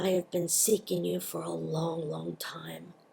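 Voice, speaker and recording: Someone does a raspy, put-on character voice at a fairly slow pace. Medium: read story.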